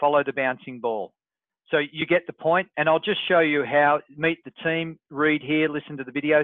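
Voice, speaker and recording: At a moderate pace, a man with a normal speaking voice talks at a fairly high pitch with fairly even intonation. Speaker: online business coach. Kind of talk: group webinar walkthrough. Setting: group call with screen share.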